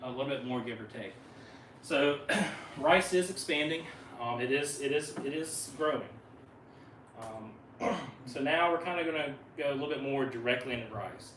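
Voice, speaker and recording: With a Southern US accent, a man speaks at a fairly high pitch with ordinary variation and long, frequent pauses. Audible room echo and noticeable background noise come through. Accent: Southern drawl. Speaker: wildlife biologist. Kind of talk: presentation talk. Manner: fast; halting, many fillers.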